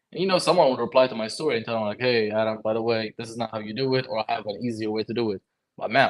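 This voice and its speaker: The speech races at a very fast pace with ordinary pitch variation. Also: man. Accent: Lebanese. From Lebanon. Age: 20s. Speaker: HVAC technician and content creator. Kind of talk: casual chat. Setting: livestream.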